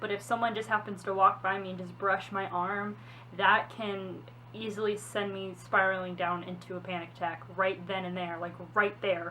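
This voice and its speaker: Noticeable background noise sits behind the voice. The pace is moderate and the pitch varies in an ordinary way. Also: woman. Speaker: vlogger. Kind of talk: personal testimony vlog. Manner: halting, repeating words.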